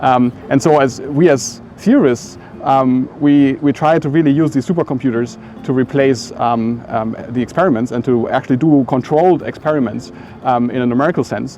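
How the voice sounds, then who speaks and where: A man with a German accent speaks with ordinary pitch variation over noticeable background noise. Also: medium pitch for a man, moderate pace. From Germany. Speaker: physics professor. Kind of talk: interview monologue. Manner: halting, many fillers.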